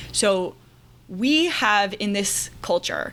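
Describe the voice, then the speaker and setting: A woman talks with lively intonation at a medium pitch. Hers is an unremarkable speaking voice. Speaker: writer and marketing teacher. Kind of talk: casual interview chat.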